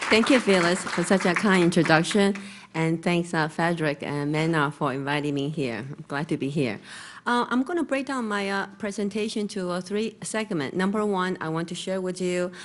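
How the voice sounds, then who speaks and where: A woman with a Chinese accent speaks at a moderate pace in a fairly low voice, her intonation lively against a quiet background. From Taiwan. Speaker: real estate broker. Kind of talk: conference presentation. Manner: halting with many fillers.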